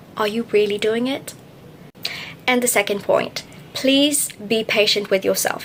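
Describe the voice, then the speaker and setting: Against noticeable background noise, a woman with a fairly high pitch speaks at a fairly slow pace in a fairly even intonation, leaving long, frequent pauses. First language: not English. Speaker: English learning youtuber. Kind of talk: tutorial. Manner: emphatic, repeats key points.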